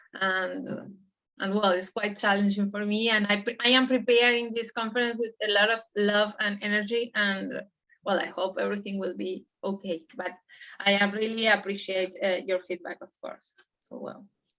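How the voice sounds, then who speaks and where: A woman with a non-native accent talks at a moderate pace and medium pitch, her intonation monotone and flat and her loudness swinging widely. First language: not English. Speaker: network member, speaker. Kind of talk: casual group chat.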